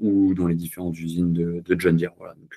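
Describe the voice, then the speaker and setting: A man is speaking. His pitch is very deep and low. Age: 30s. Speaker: engine sales representative and tractor pulling federation member. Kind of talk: interview. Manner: hesitant, many fillers.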